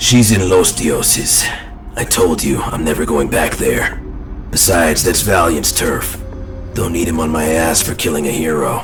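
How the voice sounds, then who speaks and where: A man's put-on character voice, very deep and low, over loud music in the background. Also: moderate pace. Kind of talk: audio drama performance.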